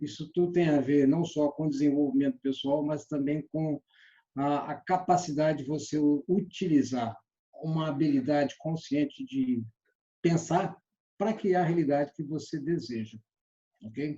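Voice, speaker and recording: A man's somewhat breathy, fairly high voice with a dark, mellow tone, ordinary pitch variation and a fairly slow pace. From Brazil, Belo Horizonte. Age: 60s. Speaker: sales trainer. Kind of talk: online lecture.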